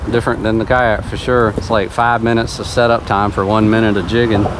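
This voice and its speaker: A man talks at a fairly quick pace over noticeable background noise. The sound is dry with no echo. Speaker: fishing vlogger. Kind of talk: casual vlog chat. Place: boat. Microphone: camera far.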